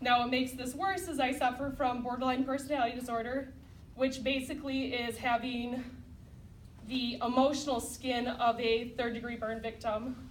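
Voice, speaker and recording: A woman speaks loudly at a moderate pace in a high, monotone, flat voice, with audible room echo. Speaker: program graduate giving testimony. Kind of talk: testimony.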